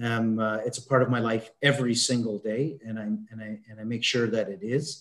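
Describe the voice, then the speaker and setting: The speaker has a Canadian accent and talks at a fairly quick pace. Intonation stays fairly even while loudness swings widely. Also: man, medium pitch for a man. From Canada. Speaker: mindset consultant. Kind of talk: interview. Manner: halting, many fillers.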